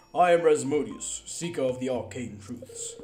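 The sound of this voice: Pitched fairly high, the man's voice is a put-on character voice. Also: moderate pace.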